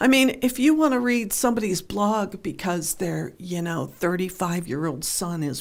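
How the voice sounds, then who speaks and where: Here is a woman in an American accent, with vocal fry and lively intonation. The recording is very clean, with a silent background. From western Pennsylvania, near Pittsburgh. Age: 60s. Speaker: newspaper columnist. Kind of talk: radio interview.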